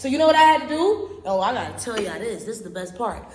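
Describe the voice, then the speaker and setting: A woman's high, animated voice with very wide pitch swings, audible room echo, and noticeable background noise. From Barbados. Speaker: podcast host. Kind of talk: casual storytelling monologue. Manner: loud.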